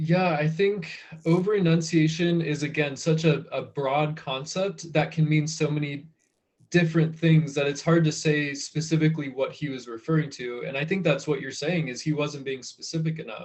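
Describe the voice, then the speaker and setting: Using an unremarkable speaking voice, a man with an American accent talks at a moderate pace, at a fairly high pitch, with fairly even intonation. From United States. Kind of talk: interview answer.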